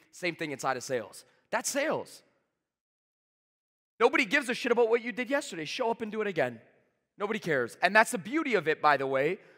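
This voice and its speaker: On a very clean recording with a silent background, a man uses a raised, projected voice, high in pitch with a bright, sharp tone, swinging very widely in pitch at a very fast pace broken by long, frequent pauses. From Canada, Toronto. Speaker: sales trainer. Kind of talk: motivational talk. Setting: stage with audience. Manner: high energy.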